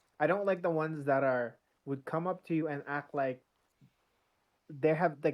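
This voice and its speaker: The pace is moderate and the pitch variation ordinary. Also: man. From Philippines, moved to Calgary, Canada. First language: Tagalog mixed with English. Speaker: gamer guest. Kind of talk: casual chat.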